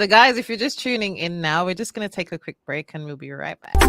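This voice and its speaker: A woman with a plain, everyday voice speaks at medium pitch with lively intonation. The sound is dry and close, with no echo. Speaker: podcast host. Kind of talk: podcast interview hosting.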